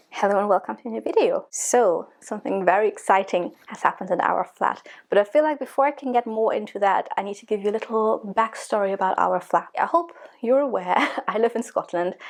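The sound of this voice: A woman's medium-pitched voice with vocal fry, ordinary pitch variation, a fairly quick pace and few pauses.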